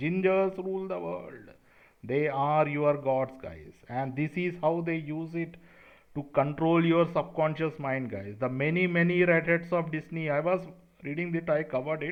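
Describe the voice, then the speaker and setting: A man with an Indian accent, fairly high-pitched, at a moderate pace with ordinary pitch variation. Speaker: conspiracy video creator. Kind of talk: monologue to camera. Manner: animated.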